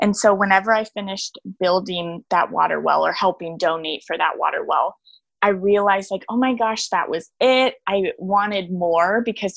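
Speaking at a moderate pace over a quiet background, a woman with an American accent uses a medium pitch, ordinary pitch variation and an unremarkable speaking voice. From Texas, Austin. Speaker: small business owner and designer. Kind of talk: casual interview.

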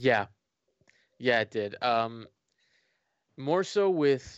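Very slowly, a man talks with a medium pitch and ordinary pitch variation. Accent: American. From Florida. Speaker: fan content creator. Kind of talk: casual interview.

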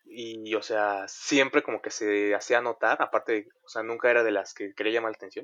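A man with a plain, everyday voice, medium in pitch, at a moderate pace. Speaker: podcast host. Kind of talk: casual chat.

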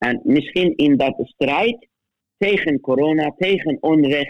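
The sound is dry and close, with no echo. A man talks very slowly at a fairly high pitch. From Middle East. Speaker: theologian. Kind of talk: interview. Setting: phone call. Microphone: phone line quality.

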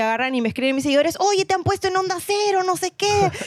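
In a very clean recording with a silent background, a woman talks. Her pitch swings very widely. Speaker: radio presenter and podcaster. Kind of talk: casual chat.

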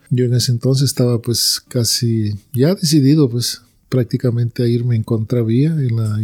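A man speaks at a medium pitch with a dark, mellow tone that is somewhat breathy. His intonation is fairly even, and the sound is dry and close with no echo. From Peru. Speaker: church member giving testimony. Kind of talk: religious conversation.

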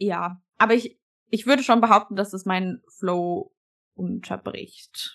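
A woman's medium-pitched voice at a very slow pace, with ordinary pitch variation and big swings in loudness. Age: 20s. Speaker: fitness athlete and coach. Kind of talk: casual chat.

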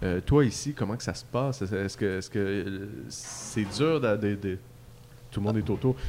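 With a Quebec accent and noticeable background noise, a man talks at a fairly low pitch and fairly slow pace with lively intonation. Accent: Québécois French. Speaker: beer podcast host. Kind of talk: casual chat. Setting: microbrewery pub.

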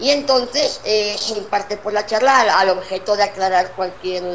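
Noticeable background noise sits under a woman whose intonation stays fairly even. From Spain. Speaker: academy director. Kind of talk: interview. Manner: halting.

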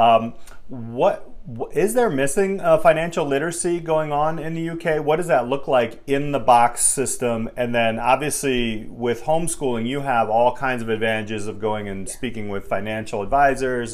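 Speaking at a moderate pace with hardly any pauses, a man with an unremarkable speaking voice holds a medium pitch. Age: 40s. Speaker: podcast host and business teacher. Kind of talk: interview.

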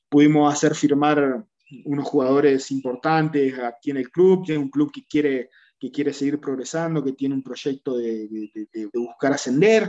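A man's fairly high-pitched voice with a dark, mellow tone, ordinary pitch variation and a moderate pace, in a dry, close sound with no echo. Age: 30s. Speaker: rugby coach, former player. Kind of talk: interview. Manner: halting, many repetitions and fillers.

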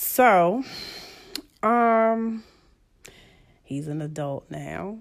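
Very slowly, with long, frequent pauses and lively intonation, a woman speaks in a very clean recording with a silent background. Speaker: host's mother. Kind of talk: casual chat.

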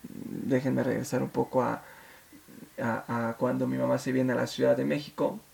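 Noticeable background noise sits behind a man who keeps a moderate pace. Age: 30s. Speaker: podcast host. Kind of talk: personal monologue. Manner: hesitant, many fillers.

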